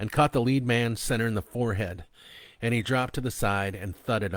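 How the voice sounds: This clip has a natural reading voice. The words are read out one after another.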